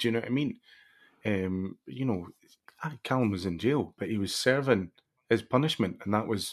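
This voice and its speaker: A man with a Scottish accent speaks in a medium pitch at a moderate pace. He leaves long, frequent pauses. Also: ordinary pitch variation. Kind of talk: casual chat.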